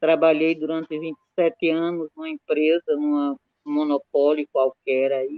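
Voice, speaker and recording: A woman talks in a very deep, low pitch, keeping her intonation fairly even. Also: moderate pace, big swings in loudness. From Brazil, Sergipe backcountry. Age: 70s. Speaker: community activist. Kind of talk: interview at an academic event.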